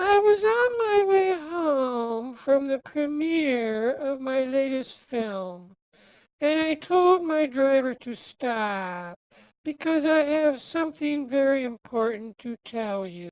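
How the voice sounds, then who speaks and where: A put-on character voice, female-sounding and high-pitched, theatrical in tone, at a fairly slow pace. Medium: audio drama. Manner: grand, theatrical.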